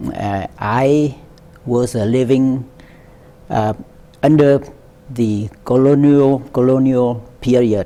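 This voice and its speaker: A man talks at a very slow pace and a medium pitch, leaving long, frequent pauses. His intonation stays fairly even, with noticeable background noise behind him. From central Vietnam, Quang Tri. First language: Vietnamese. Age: 70s. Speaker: war veteran. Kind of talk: oral history interview. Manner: halting, many fillers.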